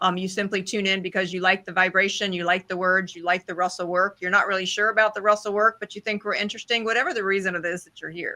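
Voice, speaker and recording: A woman with an American accent speaks very fast, barely pausing, at a medium pitch. Her intonation is flat and monotone while her loudness swings widely. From US South. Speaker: online study group host. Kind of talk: group discussion.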